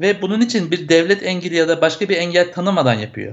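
A man with a high voice talks at a moderate pace. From Turkey, Izmir. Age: 40s. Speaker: software entrepreneur and cycling advocate. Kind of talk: interview.

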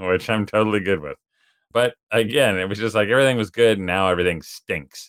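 Dry and close with no echo, a man with a plain, everyday voice talks at a fairly quick pace, his pitch fairly low and his pitch variation ordinary. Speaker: podcast host. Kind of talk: casual chat.

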